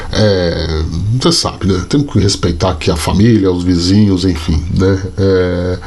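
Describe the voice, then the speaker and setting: A man speaks slowly-ish, at a fairly slow pace, in a very deep, low pitch with fairly even intonation and very even loudness. Audible room echo and noticeable background noise surround his voice. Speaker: sports journalist and youtuber. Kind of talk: casual vlog commentary. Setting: home at night. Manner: soft-spoken, talking quietly.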